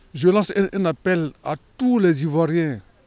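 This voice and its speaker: A man at a very slow pace with lively intonation. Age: 70s. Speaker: pilgrim. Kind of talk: testimony. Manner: halting.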